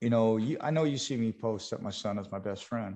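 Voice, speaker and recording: A man's dark, mellow, medium-pitched voice at a moderate pace, with ordinary pitch variation, against a quiet background. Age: 50s. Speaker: MMA photographer and fighter interviewer, cancer survivor. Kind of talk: podcast interview. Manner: repetitive, stammering restarts.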